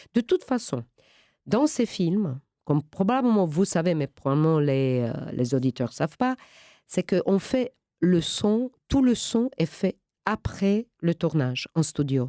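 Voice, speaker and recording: A woman speaks at a very slow pace, her pitch swinging very widely. The recording is very clean, with a silent background. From Romania. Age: 50s. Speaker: actress. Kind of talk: interview. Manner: halting.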